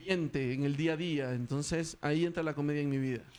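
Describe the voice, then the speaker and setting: A man with an ordinary speaking voice at a fairly quick pace. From Ecuador. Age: 40s. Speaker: stand-up comedian. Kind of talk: interview.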